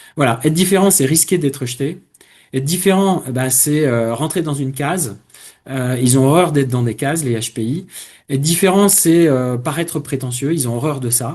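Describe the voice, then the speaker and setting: Against a quiet background, a man with a somewhat breathy voice speaks at a moderate pace with ordinary pitch variation. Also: fairly high pitch for a man. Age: 60s. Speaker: career coach. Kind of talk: webinar presentation. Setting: online webinar. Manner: hesitant, many fillers.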